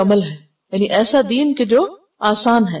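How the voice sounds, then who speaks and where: Pitched fairly high, the woman speaks with ordinary pitch variation. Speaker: Islamic scholar, Quran teacher. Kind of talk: religious lecture, Quran tafsir class. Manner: clear articulation.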